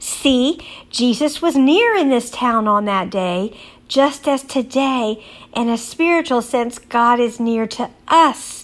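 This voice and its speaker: A woman speaks very slowly in a Texan accent. Her pitch is high. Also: ordinary pitch variation. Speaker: Bible teacher. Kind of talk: religious teaching.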